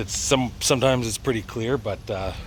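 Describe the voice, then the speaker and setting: Noticeable background noise runs under the recording. The man's pitch sits in the medium range. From Canada, northwestern Ontario (Thunder Bay). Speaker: vlogger. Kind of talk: casual walking vlog. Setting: outdoors. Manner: hesitant, many filler uhs.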